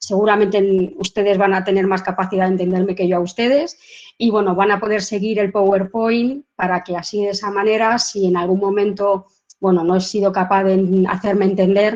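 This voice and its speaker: A woman's medium-pitched voice at a fairly quick pace, with fairly even intonation. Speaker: professor. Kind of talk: lecture. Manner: fast.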